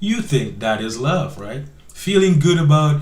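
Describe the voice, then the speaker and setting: Room echo is audible around a man's somewhat breathy, medium-pitched voice. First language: not English (immigrant). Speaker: online commentary show host. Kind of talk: reaction commentary on clips. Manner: halting, many repeated words.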